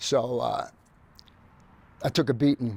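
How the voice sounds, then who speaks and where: With a New York accent and ordinary pitch variation, a man talks in a dry, close sound with no echo. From New York City (Queens). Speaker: graffiti artist. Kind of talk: casual interview chat.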